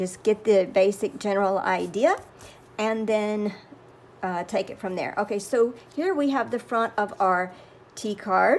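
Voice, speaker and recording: A woman with a Southern US accent speaks at a medium pitch and a fairly slow pace, her pitch varying in an ordinary way, with long pauses that come often. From US South. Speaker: crafting YouTuber. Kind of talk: tutorial.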